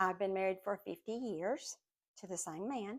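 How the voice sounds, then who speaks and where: In a very clean recording with a silent background, a woman with a Southern US accent speaks with ordinary pitch variation. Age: 60s. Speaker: podcast host, Bible teacher. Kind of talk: personal testimony. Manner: casual, hesitant with fillers.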